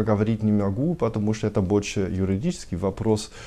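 A man's fairly low voice with a German accent. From Germany. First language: German (speaking Russian). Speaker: tax consultant, company director. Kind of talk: TV interview. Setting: TV studio. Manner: halting, many hesitations. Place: office.

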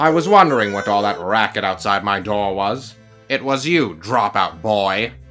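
A man in a put-on character voice, with faint music in the background. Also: fairly low pitch for a man, moderate pace. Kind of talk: fan manga dub.

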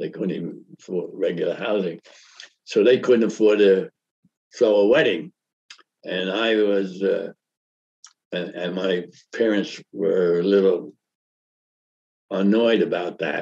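A man with a New York accent talks at a fairly slow pace in a fairly low pitch with ordinary pitch variation. He takes long, frequent pauses against a quiet background. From Brooklyn, New York. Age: 80s+. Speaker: economist. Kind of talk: interview answer. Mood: calm reminiscing. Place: office.

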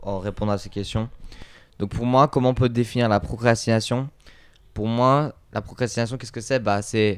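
The man's intonation is fairly even and his pace moderate. Behind him the background is quiet. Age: 20s. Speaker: podcast guest. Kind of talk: casual chat. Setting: recorded at his home. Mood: calm, reflective. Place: home room. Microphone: handheld.

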